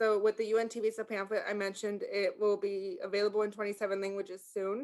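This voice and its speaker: A woman speaks at a very fast pace in a medium pitch. Her intonation is flat and monotone. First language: Spanish. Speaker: sheriff's office language access liaison. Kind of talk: community meeting presentation. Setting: video call.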